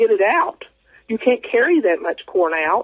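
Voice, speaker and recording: Dry and close with no echo, a man with an American accent speaks at a fairly slow pace. His high pitch moves in very wide swings. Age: 60s. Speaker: eyewitness guest. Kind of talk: interview testimony. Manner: halting, many fillers.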